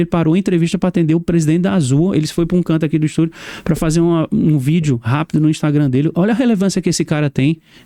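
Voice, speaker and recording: A man talks at a very fast pace in a high voice with ordinary pitch variation. His tone is dark and mellow. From Brazil, Sergipe (raised from age five). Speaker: podcast host, interviewed as guest. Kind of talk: interview. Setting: studio. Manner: animated.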